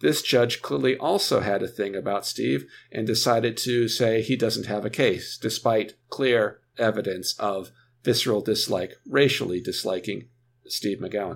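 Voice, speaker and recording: With an American accent, a man speaks at a fairly slow pace in a medium-pitched voice with vocal fry and ordinary pitch variation, on a very clean recording with a silent background. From United States. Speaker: author and scholar on racial discrimination. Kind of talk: interview.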